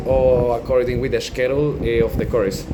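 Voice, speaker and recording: A man with a Colombian accent at a medium pitch and moderate pace, with audible room echo and noticeable background noise. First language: Spanish. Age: 20s. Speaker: language student and English teacher. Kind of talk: class assignment video, partly reading aloud. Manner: halting, with fillers.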